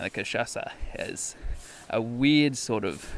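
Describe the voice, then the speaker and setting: This man has an Australian accent. His intonation is lively. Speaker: travel podcast host. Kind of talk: casual podcast narration and interview. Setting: bedroom interview.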